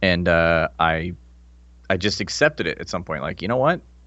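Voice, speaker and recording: At a moderate pace, a man speaks with lively intonation and vocal fry. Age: 30s. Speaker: former army officer and podcast host. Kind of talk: casual chat. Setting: podcast recording.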